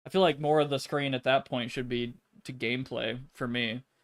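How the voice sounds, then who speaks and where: On a very clean recording with a silent background, a plain, everyday voice speaks with fairly even intonation. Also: man. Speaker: gaming streamer. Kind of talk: casual chat.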